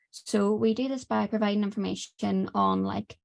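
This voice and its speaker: This woman speaks with an Irish accent. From Ireland. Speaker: student presenter. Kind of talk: webinar presentation. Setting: online webinar. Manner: quiet.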